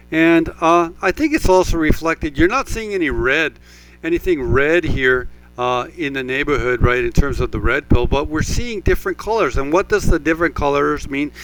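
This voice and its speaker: Against noticeable background noise, a man talks at a moderate pace in a fairly high pitch with ordinary pitch variation. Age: 50s. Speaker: real estate agent and channel host. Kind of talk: casual property walkthrough commentary. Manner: hesitant, many fillers.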